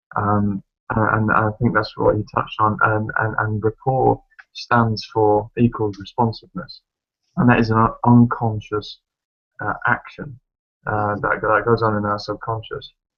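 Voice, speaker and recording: With music in the background, a man delivers his words at a fairly slow pace. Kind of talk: casual chat.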